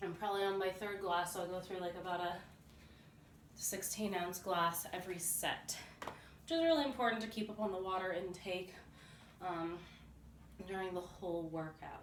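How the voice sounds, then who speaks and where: With noticeable background noise and audible room echo, a woman speaks at a moderate pace with fairly even intonation and long, frequent pauses. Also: medium pitch for a woman. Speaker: fitness vlogger. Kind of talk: workout tutorial. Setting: at home. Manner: loud.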